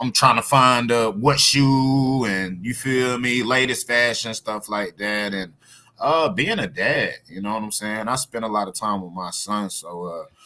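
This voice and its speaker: With noticeable background noise, a man in an American accent talks at a fairly slow pace at a medium pitch. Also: ordinary pitch variation. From US, Virginia Beach. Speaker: rapper. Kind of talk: interview. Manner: casual, hesitant with repetitions.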